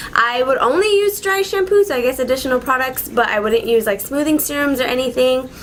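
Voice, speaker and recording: This woman's voice is high in pitch, with noticeable background noise around it. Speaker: beauty vlogger. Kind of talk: casual vlog tutorial. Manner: fast.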